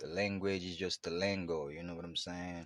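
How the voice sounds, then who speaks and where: A man with a strong Haitian accent speaks at a fairly slow pace in a very deep, low pitch. The sound is dry and close, with no echo. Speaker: podcast host. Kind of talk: casual monologue. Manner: casual, filler-heavy, repetitive.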